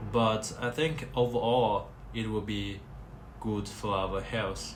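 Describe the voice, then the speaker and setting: Noticeable noise sits in the background. The room's echo can be heard. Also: man. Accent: non-native. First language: Chinese. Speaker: vlogger. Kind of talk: casual monologue. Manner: halting.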